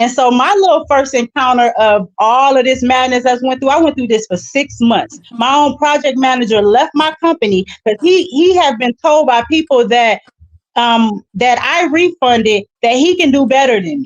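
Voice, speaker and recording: A loud woman speaks at a high pitch in an animated tone, with ordinary pitch variation and hardly any pauses. The sound is dry and close with no echo, and music plays in the background. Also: moderate pace. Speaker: business owner. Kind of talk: casual panel discussion.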